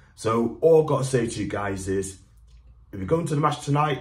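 Somewhat breathy, a man speaks with lively intonation in an upbeat, enthusiastic tone. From Newcastle, north-east England. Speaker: football fan vlogger. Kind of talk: angry rant about hooligans and a Twitter critic, then direct-to-camera vlog. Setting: video to camera, vlog. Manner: indignant, emphatic, insisting he stays dignified; chatty, upbeat, enthusiastic. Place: home room. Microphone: phone near.

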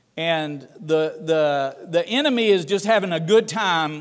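A man with a Southern US accent talks at a fairly high pitch with ordinary pitch variation. The background is quiet. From US South, Tennessee. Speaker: ministry leader and guest speaker; guest. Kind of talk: sermon. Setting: church. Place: church.

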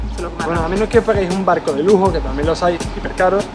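Clear music plays behind the speaker. A man talks very fast. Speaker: travel vlogger. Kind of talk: casual vlog chat. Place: garden. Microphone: camera far.

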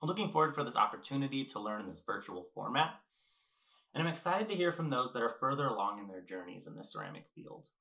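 A man with an American accent talks very fast at a fairly high pitch, with very wide pitch swings, big swings in loudness, and vocal fry. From California. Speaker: ceramic artist. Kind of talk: lecture.

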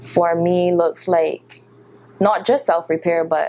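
A woman's fairly low, dark, mellow voice with a Barbadian accent, very slow pace, fairly even intonation, and light background noise. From Barbados. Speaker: spoken word poet. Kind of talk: interview answer. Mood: warm, reflective. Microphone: lapel.

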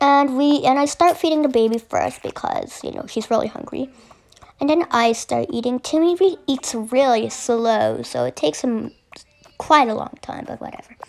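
A woman with a high pitch speaks with lively intonation and big swings in loudness. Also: moderate pace. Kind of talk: casual gameplay narration.

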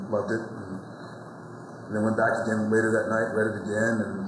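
Noticeable background noise sits behind a man speaking. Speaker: actor being interviewed. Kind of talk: interview answer. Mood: warm, reflective, passionate. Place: hall. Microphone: lapel.

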